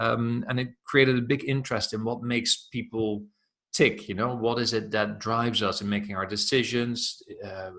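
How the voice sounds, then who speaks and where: Bright, sharp tone in a Dutch accent, with fairly even intonation at a moderate pace. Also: man, medium pitch for a man. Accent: Dutch, noticeable. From Netherlands. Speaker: self-development coach. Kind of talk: interview.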